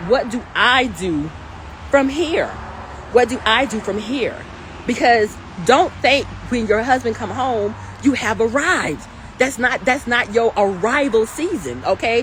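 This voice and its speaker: A woman speaks loudly in a high pitch with an animated tone and lively intonation, at a fairly slow pace. Her long, frequent pauses come over noticeable background noise. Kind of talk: livestream talk.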